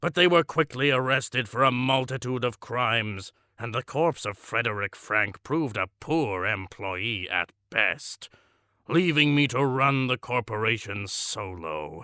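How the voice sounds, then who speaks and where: Using a put-on character voice with lively intonation, a man speaks at a medium pitch and a fairly slow pace, on a very clean recording with a silent background and a dry, close sound with no echo. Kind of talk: deadpan comic monologue. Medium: audio drama. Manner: pompous, matter-of-fact about cruelty.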